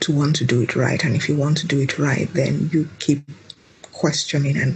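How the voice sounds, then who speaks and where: Over noticeable background noise, a woman with a very deep, low voice talks at a moderate pace with fairly even intonation. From Nigeria. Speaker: mother, podcast guest. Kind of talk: interview answer.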